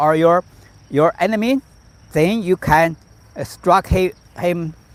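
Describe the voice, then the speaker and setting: A high-pitched man with a Chinese accent and ordinary pitch variation, in a dry, close sound with no echo. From China, Shandong Province. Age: 50s. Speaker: tai chi master. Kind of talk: live-stream teaching. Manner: halting, many repetitions.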